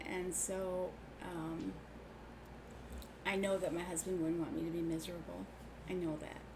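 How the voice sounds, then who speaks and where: Her intonation is monotone and flat as a woman talks at a moderate pace. Long, frequent pauses and audible room echo mark the clip. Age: 60s. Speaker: sewing channel host. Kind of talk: casual livestream chat. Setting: live stream.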